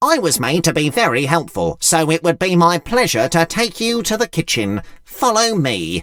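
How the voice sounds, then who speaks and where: A man in a put-on character voice, high in pitch, at a moderate pace with hardly any pauses. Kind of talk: children's bedtime story reading. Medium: read story. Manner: polite, welcoming.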